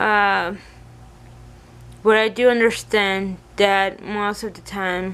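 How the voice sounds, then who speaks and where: The speaker talks very slowly in a Spanish accent. The intonation is monotone and flat. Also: woman. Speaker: vlogger. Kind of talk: personal vlog, venting. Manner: mumbling; halting, hesitant.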